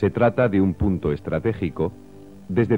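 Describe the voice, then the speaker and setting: Music plays in the background as a man speaks at a moderate pace. His pitch is very deep and low. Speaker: voice-over narrator. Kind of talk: documentary narration.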